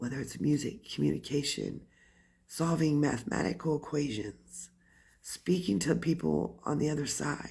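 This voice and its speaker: A woman with a very deep, low voice shows vocal fry and a lively intonation. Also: moderate pace. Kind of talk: casual talk to camera. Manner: ranting.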